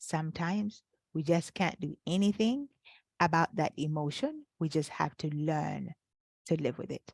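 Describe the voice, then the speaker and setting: Lively intonation runs through this woman's speech in a non-native accent. The sound is dry and close, without echo. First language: not English. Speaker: life coach. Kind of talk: webinar workshop. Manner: halting with fillers.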